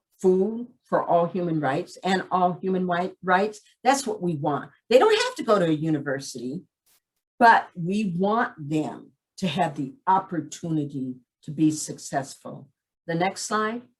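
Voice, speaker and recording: A woman speaks at a fairly slow pace in a fairly low, somewhat breathy voice with lively intonation. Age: 60s. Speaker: community program director. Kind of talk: presentation. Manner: direct.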